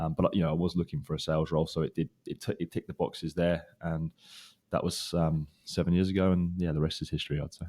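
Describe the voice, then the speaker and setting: With a British accent, a man speaks very fast in a very deep, low voice, his dark, mellow tone delivered in a monotone, flat intonation. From UK. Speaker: recruiter. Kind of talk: interview. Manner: hesitant, many fillers.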